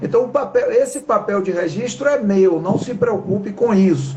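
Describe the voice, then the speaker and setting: This man talks fairly slowly, and noticeable background noise can be heard. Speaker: talk show host. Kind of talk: live stream talk.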